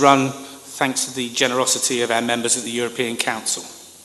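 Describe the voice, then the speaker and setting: Over noticeable background noise, a man with a British accent and a medium-pitched voice talks fairly quickly. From Britain. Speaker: conference keynote speaker, former government communicator. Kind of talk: keynote speech.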